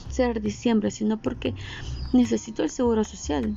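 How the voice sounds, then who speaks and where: A woman takes a fairly slow pace while noticeable background noise carries on around her. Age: 30s. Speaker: podcaster. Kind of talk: personal monologue. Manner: casual.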